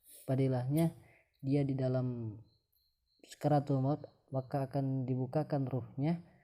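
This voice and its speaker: Delivery is fairly slow. A non-native accent comes through. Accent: non-fluent Indonesian, self-described. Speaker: religious teacher. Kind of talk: religious talk. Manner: halting, many fillers.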